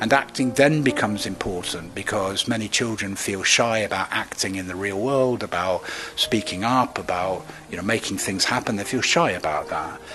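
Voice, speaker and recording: Speaking at a moderate pace, a man has a fairly low pitch and ordinary pitch variation. Noticeable background noise runs underneath. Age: 70s. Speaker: drama education professor. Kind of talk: interview.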